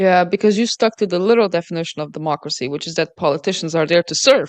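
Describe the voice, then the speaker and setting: Very fast speech in a non-native accent with ordinary pitch variation, dry and close with no echo. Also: woman, fairly low pitch for a woman. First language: not English. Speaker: podcast interviewer. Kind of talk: interview. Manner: hesitant with fillers.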